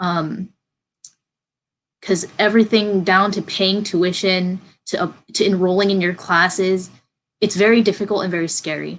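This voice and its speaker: Long, frequent pauses break up a woman's speech. Her intonation stays monotone and flat. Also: medium pitch for a woman, moderate pace. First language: not English. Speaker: university student. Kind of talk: interview. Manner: hesitant, many fillers.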